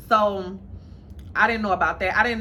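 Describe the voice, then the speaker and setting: A woman with a fairly high voice and vocal fry speaks in a room with audible echo. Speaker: lifestyle and dating vlogger. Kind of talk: casual vlog monologue.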